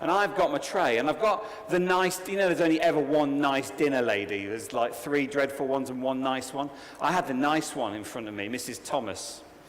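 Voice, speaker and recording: Fairly high-pitched man in an English accent, lively intonation, fairly quick pace, noticeable background noise and audible room echo. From England. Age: 40s. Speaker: conference speaker. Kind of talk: keynote talk. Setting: stage with audience. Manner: animated.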